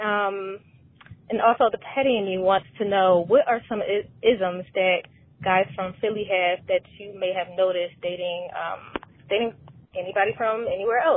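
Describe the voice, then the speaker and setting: A woman talks at a moderate pace with medium pitch and fairly even intonation. She has an ordinary speaking voice. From Philadelphia. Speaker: caller. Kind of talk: voicemail. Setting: phone call.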